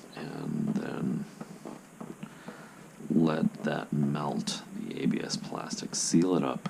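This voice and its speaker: Quiet and very slow, a man speaks with long, frequent pauses against noticeable background noise. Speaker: armor builder, prop maker. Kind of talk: casual tutorial talk to camera. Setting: home recording at night. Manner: hushed, quiet; slow, patient.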